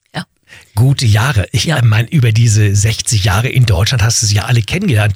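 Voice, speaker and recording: A plain, everyday voice from a man at medium pitch, moderate in pace, with ordinary pitch variation. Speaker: radio host. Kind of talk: interview.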